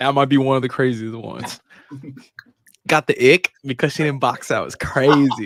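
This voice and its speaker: A man talks at a moderate pace with long, frequent pauses, fairly even intonation and big swings in loudness, the sound dry and close with no echo. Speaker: podcast co-host. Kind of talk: casual chat.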